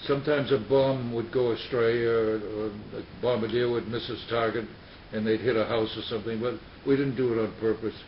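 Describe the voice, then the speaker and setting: Over noticeable background noise, a man with an American accent talks fairly quickly in a monotone, flat way. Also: medium pitch for a man. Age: 90s. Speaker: war veteran. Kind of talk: interview. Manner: halting.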